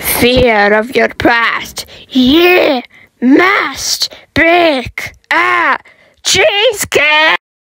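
A woman's high, cartoonish character voice, very slow, with very wide pitch swings. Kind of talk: comic reality show hosting.

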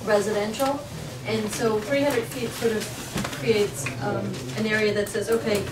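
A woman's voice against loud background noise. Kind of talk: meeting discussion. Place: meeting room. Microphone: camera far.

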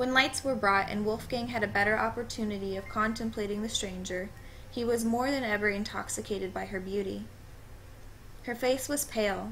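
At a fairly quick pace, a woman with a fairly high pitch uses an ordinary speaking voice with fairly even intonation. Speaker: amateur story narrator. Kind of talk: horror story reading.

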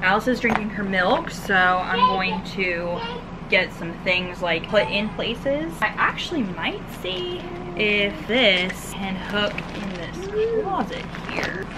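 A woman speaks at a very slow pace with ordinary pitch variation. Noticeable background noise runs underneath. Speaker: parent vlogger. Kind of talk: casual vlog chat. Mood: cheerful, relaxed. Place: home room. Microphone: phone near.

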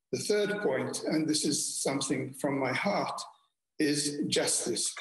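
A man speaks at a fairly slow pace in a quiet background with audible room echo. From Malta. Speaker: former diplomat; speaker. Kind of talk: keynote speech. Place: home room. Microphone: webcam.

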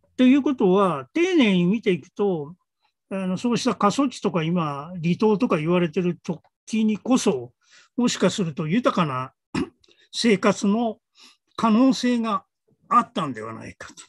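Speaking at a fairly slow pace with lively intonation and big swings in loudness, the voice comes through dry with no echo over a quiet background. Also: man, high pitch for a man. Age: old. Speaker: creative director and arts writer; guest. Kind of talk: casual chat; conversational dialogue. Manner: many fillers and hesitations. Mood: relaxed, thoughtful. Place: home room. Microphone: earbuds.

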